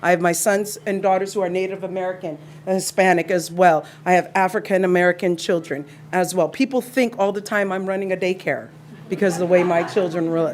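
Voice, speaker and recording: A woman at a fairly quick pace with fairly even intonation, over noticeable background noise. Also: medium pitch for a woman. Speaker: parent speaking at public comment. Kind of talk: public comment speech. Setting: school board meeting. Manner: emotional.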